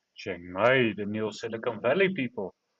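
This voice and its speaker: This is a man with a Dutch accent. He talks at a moderate pace. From Netherlands. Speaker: live audio room host. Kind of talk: casual chat.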